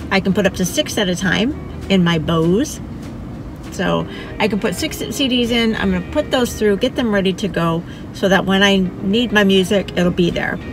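A woman with ordinary pitch variation, music in the background and a dry sound with no echo. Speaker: travel vlogger. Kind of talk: casual vlog chat. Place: car. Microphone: phone near.

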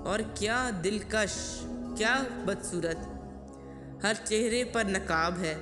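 A woman at very even loudness, music playing in the background. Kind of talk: poetry reading.

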